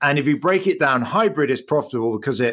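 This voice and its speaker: Very fast speech from a man with an English accent. His pitch variation is ordinary and the background is quiet. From England. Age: 50s. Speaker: economics professor. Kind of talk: interview.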